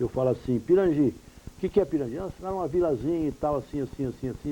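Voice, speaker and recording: Noticeable background noise runs under the voice. The pitch varies in an ordinary way. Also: man. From Pirangi, São Paulo state, Brazil. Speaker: journalist and radio broadcaster. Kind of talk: interview answer.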